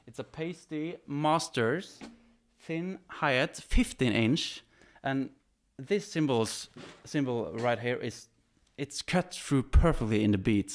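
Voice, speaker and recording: At a very slow pace, the voice moves through very wide pitch swings in a very clean recording with a silent background. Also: man. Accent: Norwegian. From Norway. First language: Norwegian. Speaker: drummer. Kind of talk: equipment demo. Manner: animated.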